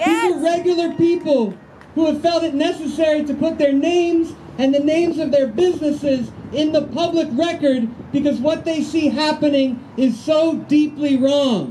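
A man with an extremely high pitch speaks with fairly even intonation and very even loudness over light background noise. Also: moderate pace. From Baltimore. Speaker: activist organizer. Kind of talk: press conference. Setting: outdoors. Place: street. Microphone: handheld.

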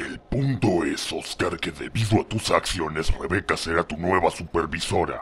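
Putting on a character voice, a man talks at a moderate pace with very deep, low pitch, ordinary pitch variation and hardly any pauses. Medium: machinima.

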